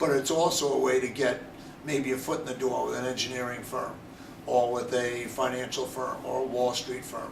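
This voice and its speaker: With monotone, flat intonation, a man speaks amid noticeable background noise and audible room echo. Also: medium pitch for a man, moderate pace. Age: 60s. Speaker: college lacrosse head coach. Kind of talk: interview.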